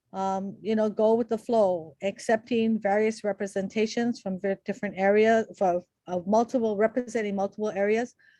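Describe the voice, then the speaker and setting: Speaking with hardly any pauses, a woman has a fairly high pitch, a dark, mellow tone and fairly even intonation, in a dry, close sound with no echo over a quiet background. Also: moderate pace. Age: 60s. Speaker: community advocate testifying. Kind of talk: public testimony. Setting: video conference. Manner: halting.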